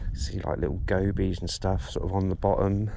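A man speaks at a moderate pace with ordinary pitch variation over noticeable background noise. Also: dry sound with no echo. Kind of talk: casual vlog chat. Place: beach. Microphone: phone near.

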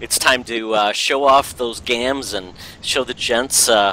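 This is a man with a medium-pitched voice. The sound is dry, with no echo. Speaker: podcast host. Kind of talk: casual chat. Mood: jokey, playful. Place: home room. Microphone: headset.

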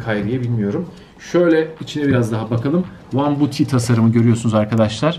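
Faint music plays in the background. A man talks at a fairly quick pace with ordinary pitch variation. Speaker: sneaker reviewer. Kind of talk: casual unboxing review chat. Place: home room. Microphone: camera far.

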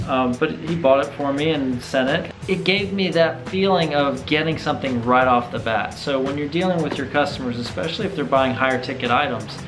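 Over music in the background, a man talks at a fairly quick pace in a fairly high pitch with ordinary pitch variation. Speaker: business owner / consultant making business video blog. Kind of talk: casual talk to camera. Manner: conversational, relaxed.

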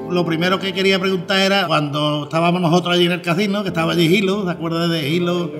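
Over clear music in the background, a man with a high pitch speaks very fast in a monotone, flat intonation. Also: hardly any pauses. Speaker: fair herald. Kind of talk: casual conversation. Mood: warm, nostalgic, friendly. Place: hall.

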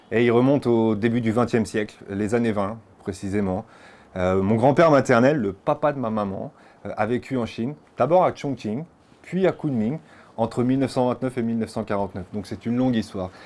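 Ordinary pitch variation and a fairly slow pace from a man. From France. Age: 30s. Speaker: interviewee. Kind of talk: interview. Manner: hesitant with frequent fillers. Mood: calm, reflective storytelling. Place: home room. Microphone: lapel.

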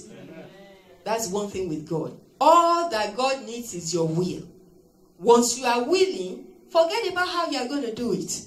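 A woman speaks at a fairly slow pace, her pitch swinging very widely, with audible room echo. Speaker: preacher. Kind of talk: sermon. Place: church. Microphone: handheld.

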